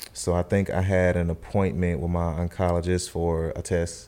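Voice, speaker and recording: A man with a North Carolina accent talks at a fairly slow pace in a very deep, low voice. His tone is dark and mellow, and his intonation stays fairly even. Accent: US Southern, North Carolina. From Charlotte, North Carolina. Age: 30s. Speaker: cancer survivor. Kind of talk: testimony. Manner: halting.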